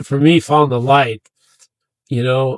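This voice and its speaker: The intonation stays fairly even. The sound is dry and close, with no echo. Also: man. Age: 60s. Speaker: veteran advocate and mover. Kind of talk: interview testimony. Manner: halting, many fillers.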